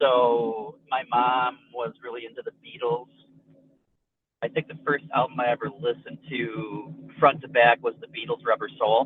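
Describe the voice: A man talks at a medium pitch and moderate pace with fairly even intonation and a slightly husky edge, in a dry, close sound with no echo.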